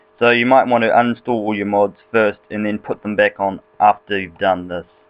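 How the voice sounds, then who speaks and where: Here a man with a New Zealand accent talks at a moderate pace. His pitch is fairly low, and the sound is dry and close with no echo. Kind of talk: casual game tutorial screen recording. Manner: casual, rambling.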